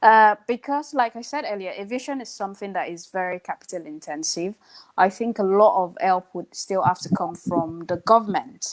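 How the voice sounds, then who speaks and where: A woman speaks with a Nigerian accent. Her intonation is lively. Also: medium pitch for a woman, moderate pace, big swings in loudness, dry, close sound with no echo. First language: Hausa. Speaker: airline pilot. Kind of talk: live online interview. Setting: live video call.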